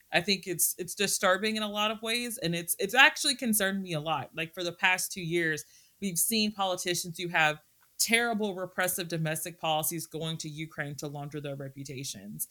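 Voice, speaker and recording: With a Texan accent, the speaker goes at a fairly quick pace, the tone bright and sharp and the intonation lively. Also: woman, fairly low pitch for a woman. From Texas. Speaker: historian and Russia-Ukraine researcher. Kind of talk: casual interview chat.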